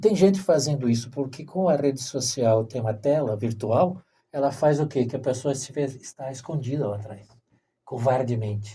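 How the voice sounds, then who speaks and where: A dark, mellow, somewhat breathy man's voice at a medium pitch, moderate pace and ordinary pitch variation. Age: 60s. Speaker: podcast host. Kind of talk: interview. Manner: halting, with repeated syllables.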